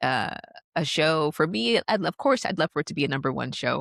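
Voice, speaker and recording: At a moderate pace and a fairly low pitch, a woman speaks in a very clean recording with a silent background and a dry, close sound with no echo. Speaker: filmmaker and podcast host. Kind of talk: interview conversation. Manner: halting.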